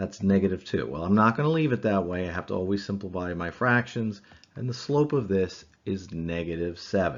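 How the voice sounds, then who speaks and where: Using a plain, everyday voice, a man talks at a fairly quick pace with fairly low pitch and lively intonation. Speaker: math teacher. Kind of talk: lecture.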